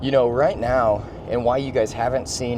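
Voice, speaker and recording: With audible room echo and noticeable background noise, a man speaks at a medium pitch. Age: 20s. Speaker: real estate investor. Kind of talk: casual vlog talk. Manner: casual, repetitive.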